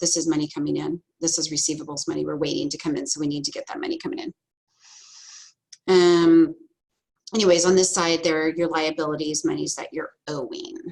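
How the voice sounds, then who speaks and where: A woman puts on a raspy character voice at a fairly low pitch. She moves at a fairly quick pace but takes long, frequent pauses. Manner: talking fast.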